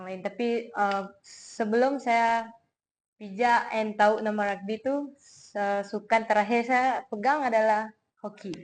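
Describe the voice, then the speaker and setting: A woman with a fairly high pitch talks at a very slow pace, her intonation fairly even but her loudness swinging widely. The background is quiet. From Sarawak, Malaysia (Miri). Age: 20s. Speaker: rugby athlete and student. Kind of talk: interview. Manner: hesitant, casual.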